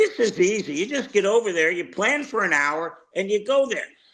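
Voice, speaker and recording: Lively in intonation, a man speaks at a moderate pace in a bright, sharp tone. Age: 70s. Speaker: sports talk co-host. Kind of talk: casual sports talk.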